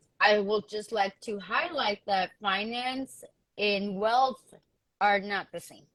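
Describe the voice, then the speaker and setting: Here a woman talks at a very slow pace. Her speech has long, frequent pauses. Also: big swings in loudness. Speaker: panel guest in community discussion. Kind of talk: casual discussion. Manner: hesitant, many fillers.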